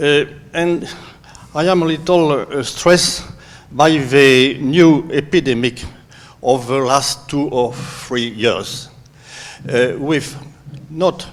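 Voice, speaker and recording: Over noticeable background noise, a man talks at a very slow pace. His fairly high pitch shows ordinary variation. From France. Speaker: audience member. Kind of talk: audience question.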